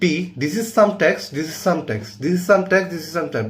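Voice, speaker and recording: With a non-native accent and some vocal fry, a man speaks at a moderate pace in a fairly high pitch, with audible room echo around him. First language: not English. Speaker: coding teacher. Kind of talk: tutorial.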